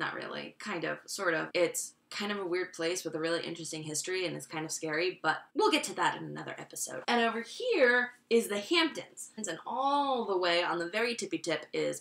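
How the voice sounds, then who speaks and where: With an American accent, a woman speaks at a fairly quick pace and a medium pitch, her intonation lively and hardly any pauses breaking it up. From Long Island, New York. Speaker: educational YouTuber. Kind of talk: comedic explainer monologue. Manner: animated, sarcastic; fast, casual.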